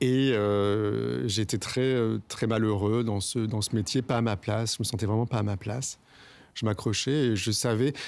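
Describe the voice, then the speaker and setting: Man at a fairly slow pace, fairly low in pitch, with fairly even intonation and very even loudness. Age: 40s. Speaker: podcaster and former radio journalist. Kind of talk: personal testimony interview. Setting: outdoors in his garden. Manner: hesitant, many filler sounds.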